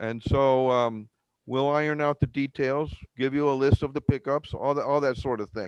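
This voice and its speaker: A man's normal speaking voice, fairly high in pitch, at a moderate pace, with a dry, close sound and no echo. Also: fairly even intonation, quiet background. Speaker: village mayor chairing board meeting. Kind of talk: public board meeting.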